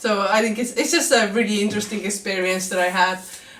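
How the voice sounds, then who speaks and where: A woman speaks at a very fast pace. Audible room echo and noticeable background noise fill the recording. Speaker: vlogger. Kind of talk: vlog monologue.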